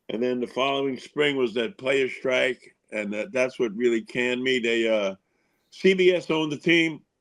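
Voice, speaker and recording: Here is a man with a New York accent. His pitch varies in an ordinary way. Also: medium pitch for a man, moderate pace. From Long Island, New York. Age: 70s. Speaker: former baseball pitcher. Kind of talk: podcast interview.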